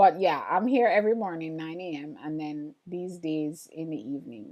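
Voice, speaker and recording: A woman with an American accent, fairly low-pitched, at a fairly slow pace, with an animated tone and lively intonation. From Jamaica. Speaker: printmaking artist and livestreamer. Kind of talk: casual livestream chat reading viewer comments. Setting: live stream.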